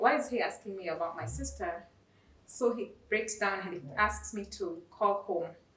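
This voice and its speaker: Noticeable background noise sits under the speech, along with audible room echo. The pace is moderate. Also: woman. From Kenya. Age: 30s. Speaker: nurse and singer. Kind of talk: testimony.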